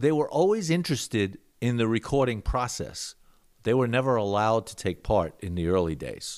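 In an American accent, a man speaks with a plain, everyday voice at a medium pitch and moderate pace. His intonation is lively, and the recording is very clean with a silent background. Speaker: musician. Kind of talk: casual chat.

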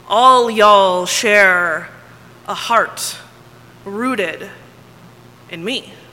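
A woman speaks very slowly in an American accent, with long, frequent pauses and audible room echo. Her pitch is medium, with ordinary variation. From Texas. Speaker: pastor. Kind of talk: sermon.

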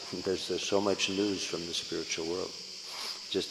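A man with an American accent and a very deep, low pitch, at a fairly quick pace, in a monotone, flat intonation, with noticeable background noise. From US West Coast, San Francisco. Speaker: Hare Krishna preacher. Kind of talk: lecture. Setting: temple hall with audience.

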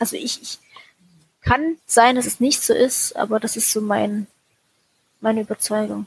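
A woman talks at a fairly slow pace with long, frequent pauses and big swings in loudness. Her voice is fairly high and somewhat breathy, with ordinary pitch variation and a dry, close sound with no echo. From Germany. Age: 30s. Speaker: former Jehovah's Witness. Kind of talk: personal testimony interview. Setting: remote call.

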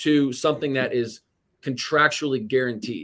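An unremarkable speaking voice with an American accent. The pace is fairly quick. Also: man. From Indiana, US Midwest. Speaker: real estate investor. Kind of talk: interview.

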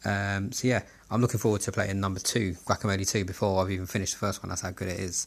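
Spoken in a South London accent at a very fast pace, the intonation stays monotone and flat. The recording is very clean, with a silent background. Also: man, fairly low pitch for a man. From Southeast London, England. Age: 30s. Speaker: gaming podcaster. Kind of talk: solo podcast monologue. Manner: casual, with frequent fillers.

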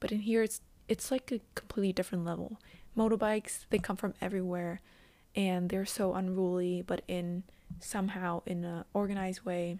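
Her dark, mellow voice sits at a medium pitch as the woman talks at a fairly quick pace with fairly even intonation. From Vietnam. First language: Vietnamese. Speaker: podcaster, university student and intern. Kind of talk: solo monologue podcast. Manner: hesitant, many ums.

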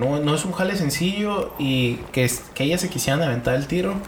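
With a Mexican accent, a man speaks at a moderate pace with a fairly high pitch and ordinary pitch variation, over noticeable background noise. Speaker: podcast guest. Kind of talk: casual chat.

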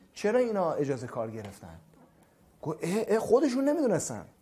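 A dark, mellow tone at a moderate pace. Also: man, very clean recording, silent background. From Iran, Khuzestan (Ahvaz, Abadan). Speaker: dentist. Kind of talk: interview. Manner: casual.

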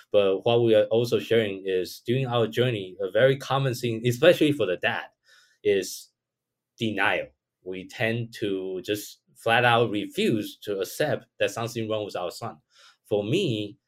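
This man has a Chinese accent and a medium pitch, speaking at a moderate pace. The recording is very clean, with a silent background. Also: ordinary pitch variation. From Taiwan. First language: Mandarin Chinese. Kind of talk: podcast interview.

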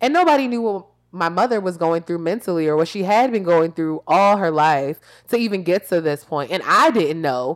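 A woman's animated, lively-intoned voice, fairly low in pitch, at a moderate pace on a very clean recording with a silent background. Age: 20s. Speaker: podcast host. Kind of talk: casual chat.

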